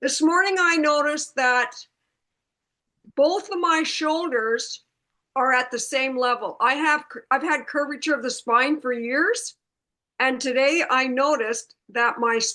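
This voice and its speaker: Projecting her raised voice over a quiet background, a woman with a high pitch and bright, sharp tone speaks at a fairly slow pace with ordinary pitch variation. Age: 70s. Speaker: product user. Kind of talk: testimony.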